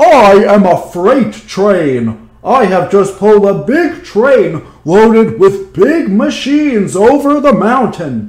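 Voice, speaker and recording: A loud, bellowing put-on character voice comes through. It moves at a fairly slow pace with hardly any pauses. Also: man, high pitch for a man. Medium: read story.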